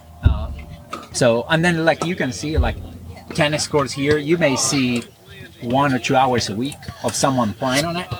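A man at a moderate pace, ordinary pitch variation, long and frequent pauses, and noticeable background noise. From South America. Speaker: pro pickleball player and tennis club owner. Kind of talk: casual interview. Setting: outdoors at a park.

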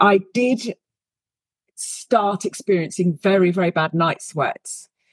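Speaking with a British accent at a fairly slow pace, a woman shows ordinary pitch variation in a dry, close sound with no echo. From UK. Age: 50s. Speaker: leadership coach. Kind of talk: interview.

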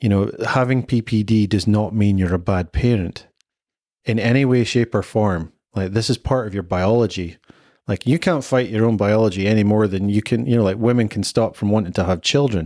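A man with a Scottish accent, fairly low in pitch, dark and mellow in tone, at a fairly quick pace, with ordinary pitch variation and very even loudness, on a very clean recording with a silent background. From Scotland. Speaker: father sharing his experience. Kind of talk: podcast interview. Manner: animated.

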